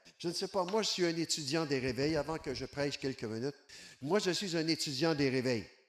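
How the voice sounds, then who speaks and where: A man with a Quebec accent sounds animated, his fairly high voice showing ordinary pitch variation. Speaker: evangelist. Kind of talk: sermon.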